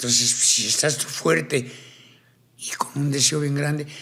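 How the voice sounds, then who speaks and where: A man speaks at a fairly high pitch in an animated tone, at a fairly slow pace. Audible room echo is present. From Colombia, Cartagena. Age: 60s. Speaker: tattoo artist and ex-convict speaker. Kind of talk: interview conversation. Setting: studio.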